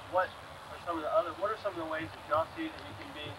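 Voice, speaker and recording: A man at a very fast pace with ordinary pitch variation, against loud background noise. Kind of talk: devotional talk to a group. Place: open country. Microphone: old recording.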